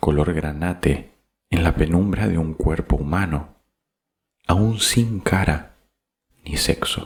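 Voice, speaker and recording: Soft-spoken and very deep, low in pitch, a man talks at a very slow pace with ordinary pitch variation and long, frequent pauses. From Argentina. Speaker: voice announcer. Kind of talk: audiobook reading.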